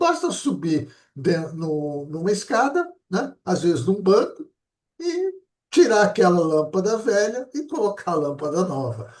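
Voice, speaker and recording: Speaking fairly slowly, a man uses a high pitch with very wide pitch swings. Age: 70s. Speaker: interview show host. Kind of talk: interview chat.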